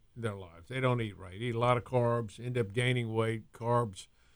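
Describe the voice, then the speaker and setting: A man speaks in a plain, everyday voice at a medium pitch with fairly even intonation. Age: 60s. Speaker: physician and wellness show host. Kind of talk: casual interview.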